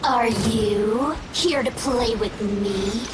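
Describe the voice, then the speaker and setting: A woman puts on a character voice with a fairly high pitch. Loud background noise and strong echo surround her. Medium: machinima. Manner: playful, laughing.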